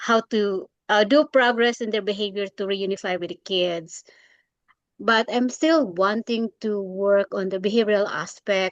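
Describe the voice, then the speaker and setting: A woman speaks at a fairly slow pace with a Filipino accent and ordinary pitch variation, the sound dry and close with no echo against a quiet background. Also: medium pitch for a woman. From Philippines. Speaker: graduate student and caseworker. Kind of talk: class introduction. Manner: halting.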